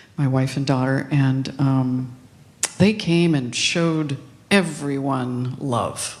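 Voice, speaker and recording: In a room with audible echo, a woman speaks at a very deep, low pitch with ordinary pitch variation. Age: 60s. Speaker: minister. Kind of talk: sermon. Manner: conversational with many filler ums.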